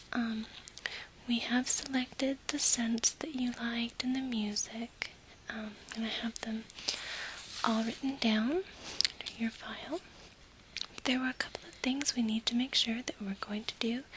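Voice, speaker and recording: Whispering and soft-spoken, the speaker goes at a fairly slow pace with long, frequent pauses over noticeable background noise. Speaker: ASMR creator playing an event planner. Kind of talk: ASMR role play, soft-spoken event planner talking to a client. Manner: soft-spoken, whispered.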